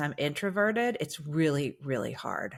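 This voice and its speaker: On a very clean recording with a silent background, a woman with an ordinary speaking voice talks at a moderate pace, her fairly low pitch carried by lively intonation. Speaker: singer and musical actress turned speaker. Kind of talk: podcast interview.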